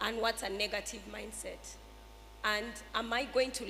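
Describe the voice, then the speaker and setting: A woman talks fairly slowly. Noticeable background noise is heard behind her. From Uganda. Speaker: entrepreneur, school owner. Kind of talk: panel discussion.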